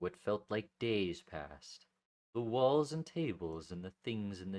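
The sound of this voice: Lively intonation from an unforced reading voice, quiet background behind it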